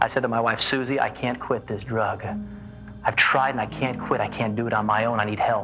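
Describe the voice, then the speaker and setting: A man's monotone, flat delivery at a fairly quick pace, with clear music in the background. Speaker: guest. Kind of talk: interview answer. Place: studio.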